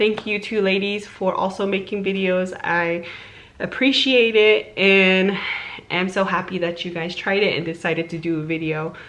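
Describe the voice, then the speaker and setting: A woman at medium pitch speaks at a moderate pace with fairly even intonation, amid audible room echo and noticeable background noise. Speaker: YouTuber. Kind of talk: live reaction video. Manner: casual, chatty.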